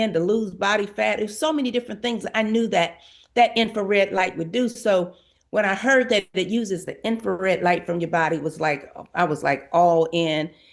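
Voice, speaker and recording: Against a quiet background, a woman speaks at a medium pitch. She keeps a moderate pace with ordinary pitch variation. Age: 60s. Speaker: network marketing testimonial speaker. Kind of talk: testimony. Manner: casual, halting with fillers.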